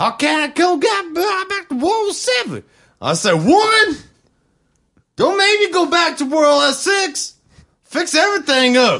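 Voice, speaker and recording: Raised and projected, the voice has an American accent and lively intonation, moving fairly slowly with long, frequent pauses. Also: man, extremely high pitch for a man. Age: 20s. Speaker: podcast co-host. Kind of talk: casual chat.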